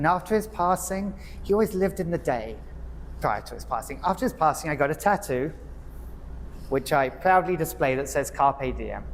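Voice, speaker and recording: This man speaks with an English accent at a moderate pace. He leaves long, frequent pauses. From England, Hertfordshire. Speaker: nonprofit executive and club speaker. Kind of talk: prepared speech. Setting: club meeting with audience.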